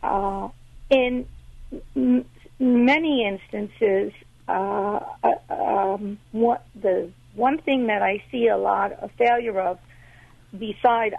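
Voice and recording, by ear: Speaking at a slow pace, a woman has a fairly high pitch, a slightly husky edge, vocal fry and ordinary pitch variation.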